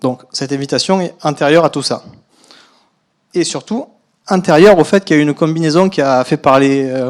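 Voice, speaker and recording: A man with a slight southern French accent talks at a moderate pace and a fairly high pitch, with ordinary pitch variation. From southern France. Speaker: biostatistician. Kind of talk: conference talk. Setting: lecture hall.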